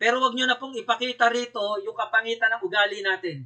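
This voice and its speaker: A man speaks at a moderate pace with an extremely high pitch. His voice is raised and projected, with a bright, sharp tone. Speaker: company speaker. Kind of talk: sales pitch. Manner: blunt, direct; emphatic.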